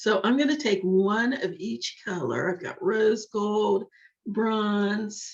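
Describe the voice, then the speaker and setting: At a very slow pace, a woman talks with a medium pitch and ordinary pitch variation. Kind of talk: tutorial. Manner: casual, slightly halting.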